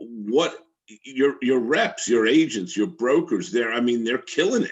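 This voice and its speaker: A man at medium pitch with a Brooklyn accent and lively intonation. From Brooklyn, New York. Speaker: interviewer. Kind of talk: interview.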